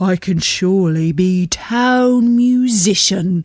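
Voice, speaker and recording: A female-sounding put-on character voice sits at a middle pitch. It moves at a very slow pace. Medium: read story.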